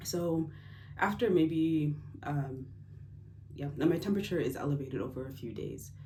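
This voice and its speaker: With an American accent, a woman speaks at a moderate pace in a very deep, low pitch with a dark, mellow tone, vocal fry, ordinary pitch variation and long, frequent pauses, amid audible room echo. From United States. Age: 20s. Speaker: engineer sharing health story. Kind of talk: personal testimony vlog. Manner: casual, hesitant with fillers.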